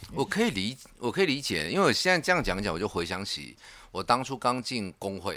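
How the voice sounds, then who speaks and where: With vocal fry and a bright, sharp tone, a man talks at a very fast pace at medium pitch, swinging very widely in pitch, on a very clean recording with a silent background. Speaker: union secretary. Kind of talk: casual chat.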